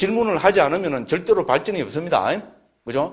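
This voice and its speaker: A man with lively intonation. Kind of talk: lecturing, Buddhist preaching.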